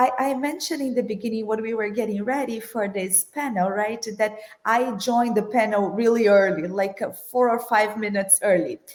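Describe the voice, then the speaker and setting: A woman's fairly high voice at a moderate pace, with ordinary pitch variation. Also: hardly any pauses. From Brazil. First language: Portuguese. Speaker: corporate finance executive. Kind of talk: panel discussion.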